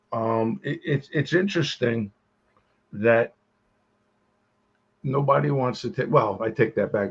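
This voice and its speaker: Lively intonation and a somewhat breathy quality mark a man's speech at a medium pitch. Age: 70s. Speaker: podcast co-host. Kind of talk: casual chat.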